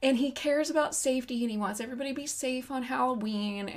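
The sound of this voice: A woman does a nasal, high-pitched put-on character voice at a very fast pace, with light background noise.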